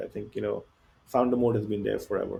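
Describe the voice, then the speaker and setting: A man speaks with an Indian accent. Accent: Indian English accent, noticeable. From India (Bihar). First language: Hindi or other Indian language. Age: 40s. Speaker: tech company founder and CEO. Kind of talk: podcast interview.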